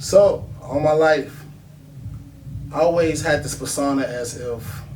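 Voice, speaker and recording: Noticeable background noise and audible room echo accompany a man talking very slowly at a fairly high pitch with fairly even intonation. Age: 30s. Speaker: independent music artist. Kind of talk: interview.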